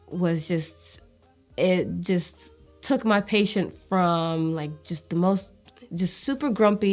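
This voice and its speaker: Music plays in the background as a woman speaks. Her pitch is medium, with ordinary variation. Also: big swings in loudness. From Eritrean family, raised in America. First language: Tigrinya. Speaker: nurse. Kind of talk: interview answer.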